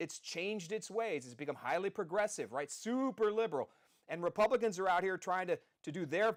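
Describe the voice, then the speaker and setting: In a very clean recording with a silent background, a loud man with an American accent speaks high for a man, at a fairly quick pace with lively intonation. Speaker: podcast host, former city councilman. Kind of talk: live political podcast monologue. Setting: studio, live stream. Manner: energetic, rambling.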